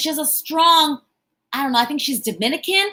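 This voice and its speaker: A woman speaks in a raised, projected voice with a high pitch and a bright, sharp tone. Her delivery is animated, with lively intonation. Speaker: motivational speaker and entrepreneur. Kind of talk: live-stream talk. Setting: live stream on YouTube and Facebook. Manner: loud.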